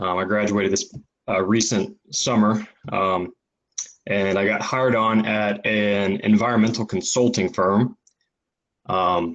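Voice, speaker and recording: A man with a Texan accent speaks at a fairly low pitch and a fairly slow pace. His intonation stays fairly even, with long, frequent pauses. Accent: Texan American English. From Texas. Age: 20s. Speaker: naturalist and environmental consultant. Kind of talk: casual chat. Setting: podcast recording. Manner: halting, many fillers.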